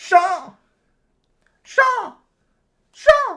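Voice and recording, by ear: The put-on character voice is shrill and extremely high in pitch.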